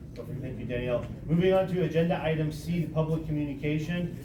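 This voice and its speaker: A man talks at a very fast pace with a fairly high pitch and fairly even intonation. Noticeable background noise and audible room echo surround him. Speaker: community planning group chair. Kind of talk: public meeting chairing. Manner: loud; formal.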